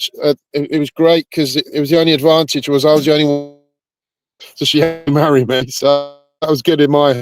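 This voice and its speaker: A man with a fairly high voice and a Bedfordshire accent speaks at a moderate pace in a monotone, flat intonation, with a dry, close sound with no echo and music in the background. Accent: British, Bedford twang. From England, Bedford and North London. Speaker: pickleball federation president. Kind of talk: podcast interview.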